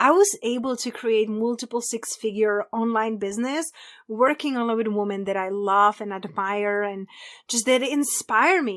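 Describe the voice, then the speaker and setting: With a Czech accent, a woman speaks at a moderate pace in a bright, sharp tone with ordinary pitch variation. The recording is very clean, with a silent background. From Czech Republic. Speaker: abundance coach. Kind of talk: podcast interview.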